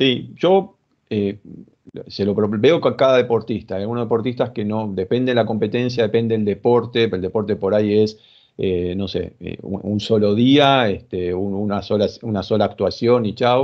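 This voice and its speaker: A fairly even intonation in an Argentine accent, at a moderate pace, over a quiet background. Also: man, fairly low pitch for a man. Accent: Rioplatense Argentine Spanish. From Argentina. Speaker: sports psychologist; guest. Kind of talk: interview. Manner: halting, many fillers. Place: home room. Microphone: video call.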